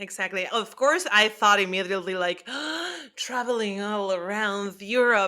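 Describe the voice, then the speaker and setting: In a Spanish accent, a woman speaks at a moderate pace and medium pitch in a bright, sharp tone. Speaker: actress. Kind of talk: interview.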